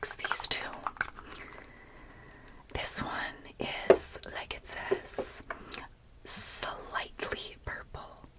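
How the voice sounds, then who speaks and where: A woman whispers, with long, frequent pauses and big swings in loudness. Noticeable background noise runs underneath. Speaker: ASMR creator. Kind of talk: ASMR makeup tutorial talk. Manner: whispered.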